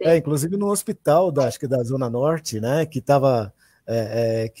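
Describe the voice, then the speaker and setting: The tone of this man's voice is dark and mellow. It has a somewhat breathy quality. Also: dry, close sound with no echo. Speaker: discussion moderator. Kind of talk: online panel discussion.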